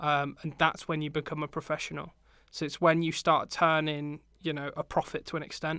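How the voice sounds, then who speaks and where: A man with a British accent talks at a fairly quick pace in a fairly high pitch and bright, sharp tone. His intonation is monotone and flat on a very clean recording with a silent background. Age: 20s. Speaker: media production lecturer and videographer. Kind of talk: podcast interview.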